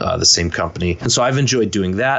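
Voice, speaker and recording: Talking at a very fast pace with an American accent, a man with a fairly low voice and ordinary pitch variation is heard over noticeable background noise. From US, upstate New York (Rochester), then Philadelphia area. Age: 30s. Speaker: guitarist. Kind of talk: casual interview.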